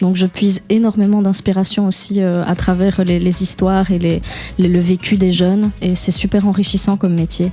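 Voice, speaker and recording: A woman's monotone, flat delivery at a moderate pace, with music in the background. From Belgium, Liège. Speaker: singer-songwriter and pianist. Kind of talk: radio interview. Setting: radio studio. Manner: hesitant, many fillers.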